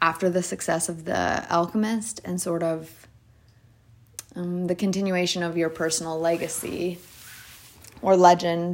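A woman speaks at a fairly low pitch and a fairly slow pace. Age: 30s. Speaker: solo podcaster. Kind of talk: casual monologue. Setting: home recording, voice notes. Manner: hesitant, many fillers.

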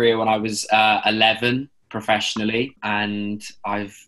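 A man speaks at a moderate pace in a fairly low pitch, with a fairly bright tone and little pitch movement.

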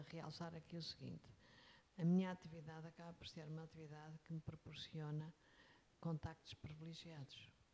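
Somewhat breathy, a woman with a European Portuguese accent speaks in a very deep, low pitch with a dark, mellow tone and monotone, flat intonation. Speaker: executive search consultant. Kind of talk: interview. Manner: halting.

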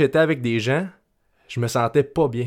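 A man speaks at a fairly quick pace with a Quebec accent. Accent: Québécois French. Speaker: podcast host and life coach. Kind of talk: solo podcast monologue. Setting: at home. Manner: halting, with repetitions.

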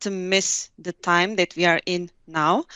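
This woman's voice has a medium pitch. Her pace is very slow. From Turkey, Hatay. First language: Turkish. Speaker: tech company specialist. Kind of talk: interview. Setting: video call.

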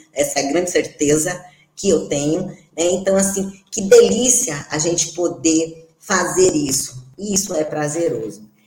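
Audible room echo surrounds a woman's fairly low voice. She speaks at a fairly slow pace with ordinary pitch variation. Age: 40s. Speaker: podcast co-host, physical education professional. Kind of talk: casual chat.

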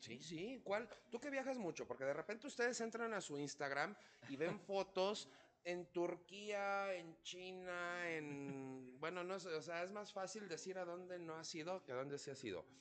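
Speaking at a fairly slow pace, a man with a high pitch uses lively intonation and an animated tone. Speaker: podcast host, chef. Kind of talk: casual chat.

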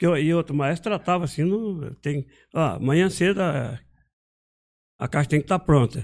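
A man with a fairly high pitch, moderate pace and ordinary pitch variation, marked by long, frequent pauses, on a very clean recording with a silent background. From Brazil, Minas Gerais, raised in São Paulo state. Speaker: guitar maker and musician. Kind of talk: casual interview.

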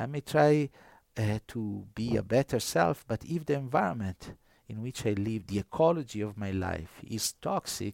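A man with an Italian accent, medium pitch, lively intonation and a moderate pace, in a dry, close sound with no echo on a very clean recording with a silent background. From northern Italy. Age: 50s. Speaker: priest and New Testament scholar. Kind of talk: interview conversation. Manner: halting, many fillers.

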